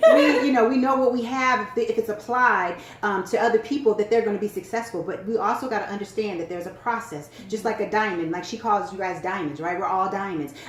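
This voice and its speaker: Over noticeable background noise, a woman talks at a very fast pace in an animated tone, her fairly high voice showing ordinary pitch variation. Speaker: business and sales coach. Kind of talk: casual chat.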